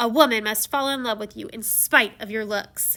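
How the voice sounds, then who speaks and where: A woman does a put-on character voice at a fairly high pitch and a moderate pace, on a very clean recording with a silent background. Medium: read story. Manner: scornful, snickering.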